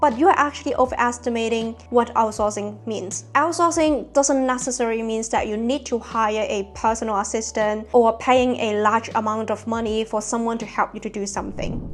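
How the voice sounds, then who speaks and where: Music plays behind a woman with a non-native accent who talks at a moderate pace and a fairly high pitch, her intonation fairly even. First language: not English. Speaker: productivity youtuber. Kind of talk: scripted video monologue.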